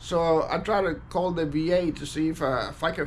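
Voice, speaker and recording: Fairly high male voice with an American accent and vocal fry, fairly slow, in a room with audible echo. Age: 60s. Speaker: war veteran. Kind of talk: personal testimony monologue. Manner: halting, many fillers and repetitions.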